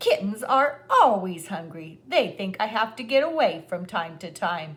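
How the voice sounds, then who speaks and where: Putting on a character voice, a woman speaks at medium pitch and a moderate pace. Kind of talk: bedtime story. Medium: read story. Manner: brisk, matter-of-fact.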